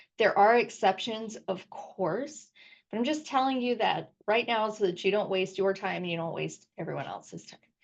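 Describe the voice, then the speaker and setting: The speaker uses vocal fry and keeps a moderate pace. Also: woman, medium pitch for a woman, ordinary pitch variation. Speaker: football agent. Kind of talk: tutorial. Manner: casual, with many fillers.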